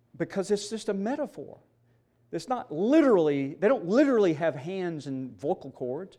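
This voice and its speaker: Recorded very cleanly against a silent background, a man with a Southern US accent speaks at a fairly slow pace in a high pitch, his dark, mellow tone marked by very wide pitch swings. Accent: Southern American. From US South, Mississippi. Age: 60s. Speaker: seminary professor. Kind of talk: conference lecture.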